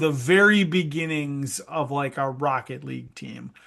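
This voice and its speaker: Against a quiet background, a man with a Minnesota accent speaks at a fairly high pitch in a bright, sharp tone with ordinary pitch variation. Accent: Norwegian-sounding Minnesota. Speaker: esports industry director, former college esports coach. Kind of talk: podcast interview. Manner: casual, many fillers.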